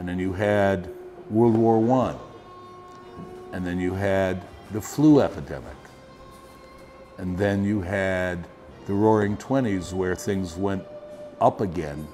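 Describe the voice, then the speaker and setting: Over music in the background, a man talks at a very slow pace with fairly low pitch, ordinary pitch variation, and long, frequent pauses. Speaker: storyteller. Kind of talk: interview answer.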